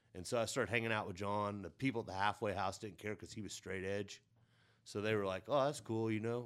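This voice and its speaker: A fairly low-pitched man with a Midwestern American accent, very fast and fairly even, on a very clean recording with a silent background. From southern Illinois. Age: 40s. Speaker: skateboarder. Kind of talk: casual chat. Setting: studio.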